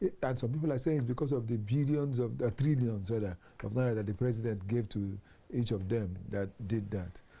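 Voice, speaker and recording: A man speaks at a fairly quick pace and medium pitch, somewhat breathy. His tone is dark and mellow, with ordinary pitch variation. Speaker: TV talk show host. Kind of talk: TV panel discussion.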